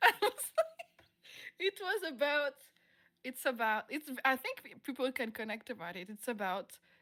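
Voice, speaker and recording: At a medium speed, the woman talks in a bright, sharp tone. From France. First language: French. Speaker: musician. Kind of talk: interview. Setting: live streamed online interview.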